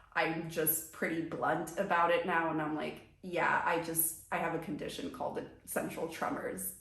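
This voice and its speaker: A woman with a fairly low pitch speaks at a moderate pace in a monotone, flat intonation, with noticeable background noise and audible room echo. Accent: American. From US suburbs, Brazilian family. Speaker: lifestyle vlogger. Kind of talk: personal vlog monologue. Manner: casual, conversational.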